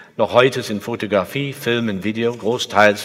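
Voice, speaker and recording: At a fairly slow pace, a man with an English accent talks at a medium pitch with ordinary pitch variation. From England. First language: English (speaking German). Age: 60s. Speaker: sculptor. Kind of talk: lecture. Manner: halting.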